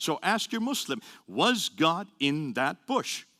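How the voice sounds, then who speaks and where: A man's animated, bright, sharp voice with very wide pitch swings and vocal fry, dry and close with no echo on a very clean recording with a silent background. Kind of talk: lecture. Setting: audience talk, being filmed. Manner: fast.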